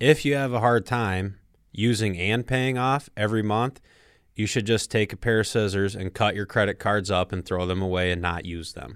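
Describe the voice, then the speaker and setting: A man with a fairly low pitch and ordinary pitch variation speaks at a moderate pace in an unremarkable speaking voice, on a very clean recording with a silent background. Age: 30s. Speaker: financial advisor, co-host. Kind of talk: casual chat about personal finance. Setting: studio.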